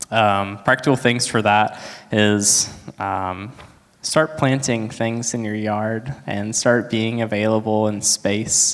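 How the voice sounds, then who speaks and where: Very slowly, a man speaks at a fairly low pitch with fairly even intonation. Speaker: church member giving testimony. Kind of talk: testimony.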